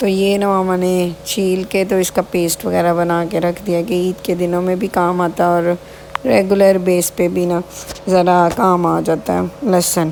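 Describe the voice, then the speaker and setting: Over noticeable background noise, a woman speaks at a fairly slow pace with a fairly low pitch. Her loudness is very even and her intonation fairly even. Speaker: vlogger. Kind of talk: casual vlog narration.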